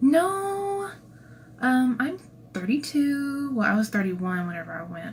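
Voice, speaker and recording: A woman talks at a fairly slow pace, and room echo is audible. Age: 30s. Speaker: cosplayer and channel creator. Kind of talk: livestream Q&A. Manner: casual, chatty.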